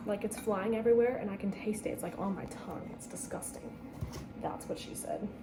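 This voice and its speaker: Soft-spoken and fairly high in pitch, a woman talks at a fairly quick pace in a monotone, flat intonation. Audible room echo and noticeable background noise fill the recording. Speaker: vlogger. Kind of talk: casual chat. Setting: home kitchen. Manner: casual.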